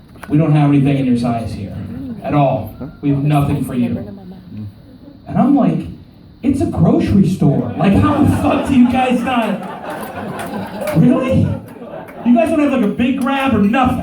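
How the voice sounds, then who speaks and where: Crowd noise and audible room echo surround the speaker. The pace is moderate, with very wide pitch swings and long, frequent pauses. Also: man, high pitch for a man. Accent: American. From Oklahoma. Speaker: stand-up comedian. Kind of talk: stand-up. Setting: stage with audience. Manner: animated.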